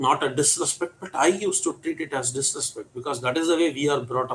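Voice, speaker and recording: A man with a Tamil Indian accent speaks in a fairly high, somewhat breathy voice with ordinary pitch variation. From India, Tamil Nadu. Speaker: English teacher. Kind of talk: storytelling.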